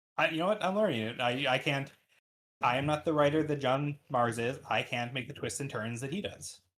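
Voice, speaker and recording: A man's fairly high voice, fairly quick in pace, with ordinary pitch variation. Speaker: podcast host. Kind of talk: casual chat. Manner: fast.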